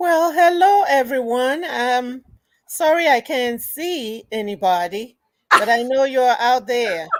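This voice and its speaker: Her voice sits high and swings very widely in pitch as this woman talks at a very slow pace. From Ghana. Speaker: museum owner and curator. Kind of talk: radio interview.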